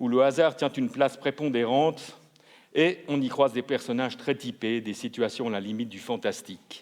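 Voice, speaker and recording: At a medium pitch, a man speaks with an unremarkable speaking voice. His pace is moderate, and his pitch varies in an ordinary way. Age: 60s. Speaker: literary jury member. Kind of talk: book presentation at award ceremony. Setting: ceremony hall.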